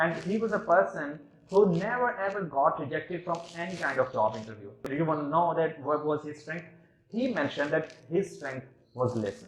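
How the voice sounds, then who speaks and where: A man with a Pakistani accent talks at a fairly quick pace and a fairly high pitch, somewhat breathy, with very wide pitch swings and big swings in loudness. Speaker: engineering student. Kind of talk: competition speech. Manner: halting.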